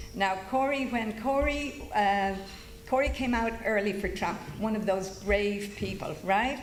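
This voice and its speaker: Over noticeable background noise and audible room echo, a woman speaks at a moderate pace and medium pitch with ordinary pitch variation. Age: 70s. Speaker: event host introducing speakers. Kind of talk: speech introducing a speaker at a political rally. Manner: casual, unscripted.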